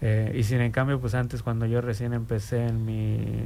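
A man's voice is heard with noticeable background noise and audible room echo around it. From Mexico City. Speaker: community commission member. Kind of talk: interview. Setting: radio studio.

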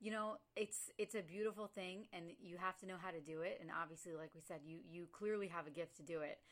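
Here is a woman with a plain, everyday voice, fairly low in pitch with ordinary pitch variation. She talks at a fairly quick pace with hardly any pauses. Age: 30s. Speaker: podcast host. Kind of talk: casual interview.

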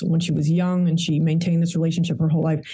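A woman speaks with an American accent at a fairly low pitch. Her tone is dark and mellow, and somewhat breathy. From Queens, New York. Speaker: historian and author. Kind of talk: interview.

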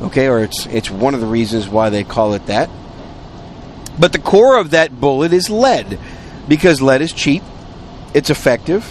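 A man speaks at a moderate pace in a medium pitch, his voice swinging very widely in pitch, with long, frequent pauses and noticeable background noise. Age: 50s. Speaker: podcast host. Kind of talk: casual monologue. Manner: conversational.

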